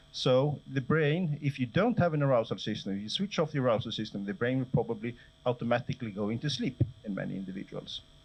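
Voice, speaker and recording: A man talks at a very fast pace with lively intonation. His voice is somewhat breathy and medium in pitch. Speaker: professor. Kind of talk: lecture. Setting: lecture hall with audience.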